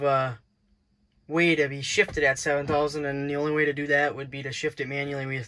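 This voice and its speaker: Bright and sharp in tone, a man speaks at a moderate pace with monotone, flat intonation. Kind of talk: casual vlog chat. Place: car. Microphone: phone near.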